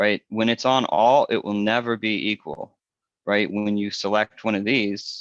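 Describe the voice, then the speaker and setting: A normal speaking voice from a man, fairly low in pitch, at a fairly slow pace with fairly even intonation. The sound is dry and close with no echo, over a quiet background. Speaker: software presenter. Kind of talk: tutorial.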